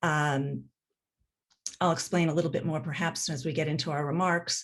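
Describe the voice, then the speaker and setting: Against a quiet background, a woman with an unremarkable speaking voice talks in a fairly low pitch with fairly even intonation. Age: 60s. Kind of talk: panel introduction.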